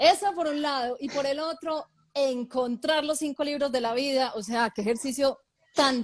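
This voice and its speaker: With a paisa Colombian accent, a woman speaks at a moderate pace in a high pitch, using ordinary pitch variation. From Colombia, Medellín (paisa). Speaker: author. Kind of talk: interview.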